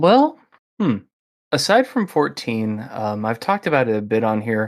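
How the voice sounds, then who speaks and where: This man has a Midwestern American accent and a medium pitch. His pitch varies in an ordinary way. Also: very clean recording, silent background. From US Midwest. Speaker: podcast host. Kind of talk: casual interview.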